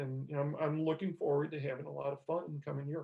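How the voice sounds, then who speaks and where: A man's somewhat breathy voice, fairly high in pitch, at a very fast pace. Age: 60s. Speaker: strength training writer and podcast host. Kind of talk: casual podcast chat. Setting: remote call.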